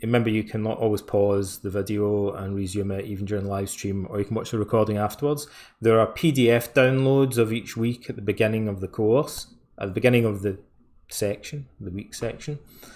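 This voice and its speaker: A man speaks at a fairly quick pace with a Scottish accent. His pitch is fairly low and his intonation fairly even. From Scotland, west coast (Ayr, near Glasgow). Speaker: course instructor. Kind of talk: live webinar presentation. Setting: live stream. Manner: casual, hesitant with fillers.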